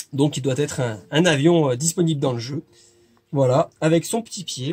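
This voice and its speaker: At a moderate pace, a man with a fairly high pitch talks in a somewhat breathy way with ordinary pitch variation. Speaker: video game shop presenter. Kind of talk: casual talk to camera.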